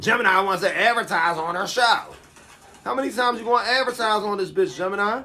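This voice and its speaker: The delivery is animated and very fast. Noticeable background noise sits behind it. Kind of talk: casual livestream commentary. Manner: animated, loud.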